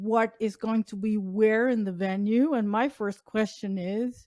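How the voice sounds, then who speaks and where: A woman with a Dutch accent speaks at a fairly high pitch with fairly even intonation. The recording is very clean, with a silent background and a dry, close sound with no echo. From Netherlands. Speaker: accessibility advocate. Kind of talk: interview. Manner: halting, many fillers.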